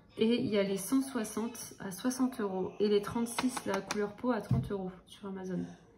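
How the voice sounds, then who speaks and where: Against noticeable background noise, a woman speaks at a medium pitch and a moderate pace with ordinary pitch variation and hardly any pauses. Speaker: vlogger. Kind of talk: casual vlog. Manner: soft-spoken; hesitant, many fillers.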